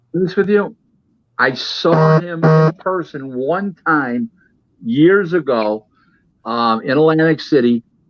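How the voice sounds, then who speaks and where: This is an ordinary speaking voice from a man at medium pitch. His intonation is lively. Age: 60s. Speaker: boxing insider. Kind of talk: casual chat.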